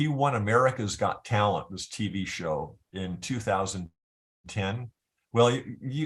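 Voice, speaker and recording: This man has a fairly low pitch and a US Midwestern accent. His pitch varies in an ordinary way. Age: 60s. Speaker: guitarist. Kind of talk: interview, casual chat. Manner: halting, many repeated words.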